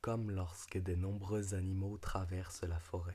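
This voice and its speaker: A man speaks very slowly and softly in a very deep, low voice with a dark, mellow tone. His delivery is monotone and flat, with a soothing tone. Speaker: ASMR creator. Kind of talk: ASMR reading aloud; casual talk to camera. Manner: soft, soothing, quiet; louder than a whisper.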